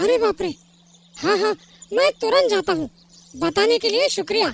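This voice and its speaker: Extremely high pitch in a cartoonish character voice, delivered at a moderate pace. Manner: timid, anxious.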